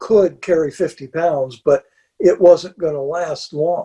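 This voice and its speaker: Against a quiet background, a man talks in a high pitch with a dark, mellow tone and fairly even intonation. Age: 70s. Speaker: backpacker; interview guest. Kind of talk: casual interview chat. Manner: halting, repeats words. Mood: calm, matter-of-fact. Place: home room.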